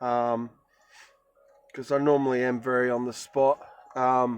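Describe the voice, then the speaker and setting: With music playing in the background, a man speaks at a moderate pace in an Australian accent. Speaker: vlogger on bushcraft and spirituality. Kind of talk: casual vlog monologue. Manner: halting, many fillers.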